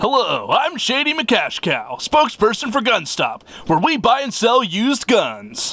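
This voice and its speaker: A man's extremely high, raised and projected voice at a moderate pace, with hardly any pauses. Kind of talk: instructional corporate video narration. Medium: machinima. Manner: bright, bland, cheerfully cynical.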